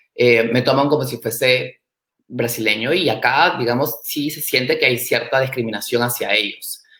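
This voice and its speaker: At a moderate pace, a man talks in a bright, sharp tone with medium pitch and fairly even intonation. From Peru. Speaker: startup and innovation expert. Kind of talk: interview. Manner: hesitant, many fillers.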